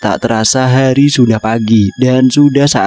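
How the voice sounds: Just a natural reading voice, heard as is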